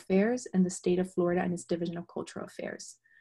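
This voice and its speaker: A woman's dark, mellow, somewhat breathy voice, fairly quick and monotone, against a quiet background. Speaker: moderator for an arts organization. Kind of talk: webinar introduction. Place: home room. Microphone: video call.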